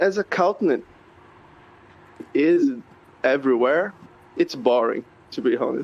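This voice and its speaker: With a Portuguese accent, a man talks at a high pitch and a fairly slow pace, his pitch swinging very widely between long, frequent pauses. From Brazil. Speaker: accountant. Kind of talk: casual interview. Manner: halting, searching for words. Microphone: quiet, poor mic.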